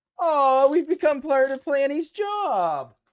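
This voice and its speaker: Loud and extremely high-pitched, a man's voice comes through with a dry, close sound and no echo. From Canada. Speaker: streamer. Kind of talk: casual chat. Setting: live stream.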